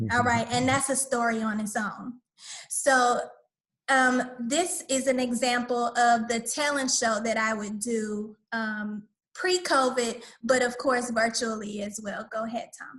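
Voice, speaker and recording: In an Atlanta accent, a woman speaks fairly slowly in a high voice with fairly even intonation. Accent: Southern US (Atlanta). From US South, Atlanta, Georgia. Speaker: community school director, dance facilitator. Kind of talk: online workshop presentation.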